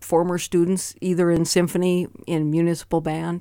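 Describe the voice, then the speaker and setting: In a plain, everyday voice with an American accent, a woman talks at a moderate pace and fairly low pitch on a very clean recording with a silent background. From Montana, US. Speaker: percussionist and retired music teacher. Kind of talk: radio interview. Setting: radio studio.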